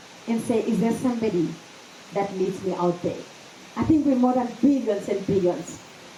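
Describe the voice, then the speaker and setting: Amid noticeable background noise and audible room echo, a woman with a fairly high pitch and ordinary pitch variation speaks with long, frequent pauses. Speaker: event MC. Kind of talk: speech at book launch. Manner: loud; fast.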